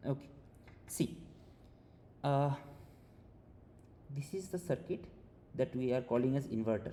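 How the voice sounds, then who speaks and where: Fairly high-pitched man's voice, somewhat breathy and dark, mellow in tone, with ordinary pitch variation and long, frequent pauses. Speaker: teaching assistant. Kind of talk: online tutorial session. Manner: fast; hesitant, many fillers.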